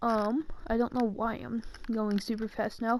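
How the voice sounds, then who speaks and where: A woman with a fairly high pitch talks at a very slow pace. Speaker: gaming youtuber. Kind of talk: gameplay tutorial commentary. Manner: hesitant, many fillers.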